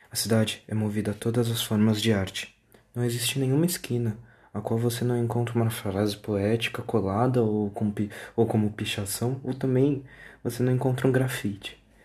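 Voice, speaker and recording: The voice is somewhat breathy. It moves at a moderate pace with fairly even intonation. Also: man, medium pitch for a man. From Brazil, São Paulo city. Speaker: podcaster. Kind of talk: casual monologue.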